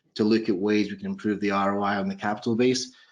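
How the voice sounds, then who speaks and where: A man with a Scottish accent, fairly low pitch, monotone and flat intonation and a very fast pace, against a quiet background. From Scotland. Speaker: proptech investor, former accountant. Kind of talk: panel interview on video call.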